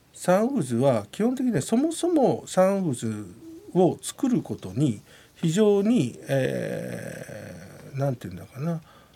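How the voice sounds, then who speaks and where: A man speaks at a very slow pace, his loudness swinging widely. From Japan, Yamanashi. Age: 50s. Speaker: rugby executive and university professor. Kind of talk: radio interview.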